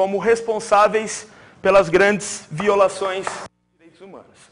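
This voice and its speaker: There is noticeable background noise. Through it, a man with a high pitch talks at a moderate pace. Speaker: teacher. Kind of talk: exam review lecture to live class. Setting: classroom with audience, also streamed. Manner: animated.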